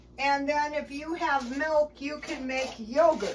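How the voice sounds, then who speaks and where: Over noticeable background noise, a woman speaks at a very slow pace. Her voice is high-pitched, with monotone, flat intonation. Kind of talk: tutorial. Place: kitchen. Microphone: camera far.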